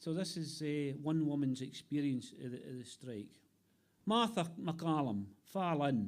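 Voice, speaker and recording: Speaking in an Ayrshire accent, this man has a fairly high pitch. His intonation is lively, and his pace is fairly slow. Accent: Scottish, Ayrshire. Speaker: poet. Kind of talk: poetry reading.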